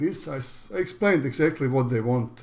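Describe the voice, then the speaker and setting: This man speaks with a Croatian accent. His pitch varies in an ordinary way. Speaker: online business educator. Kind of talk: tutorial. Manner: halting.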